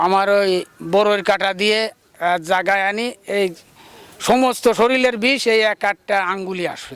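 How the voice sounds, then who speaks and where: His pitch is high. The man's intonation stays fairly even. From Bangladesh, Khulna area (Dighalia). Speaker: traditional snake healer and fisherman. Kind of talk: interview. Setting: outdoors. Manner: halting.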